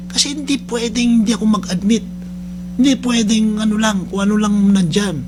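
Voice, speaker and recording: A man talks at a moderate pace in a high voice with very even loudness, over noticeable background noise and audible room echo. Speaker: radio host and rehab center head. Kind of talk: radio talk show monologue. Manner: loud, high-pitched; halting, many fillers.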